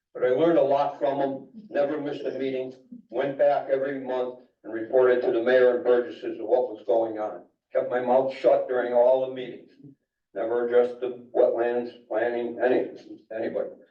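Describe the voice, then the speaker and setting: Heard with audible room echo, a man with an American accent speaks at medium pitch with fairly even intonation. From Connecticut, Naugatuck. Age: 70s. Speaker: resident speaking at public hearing. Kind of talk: public comment at town meeting.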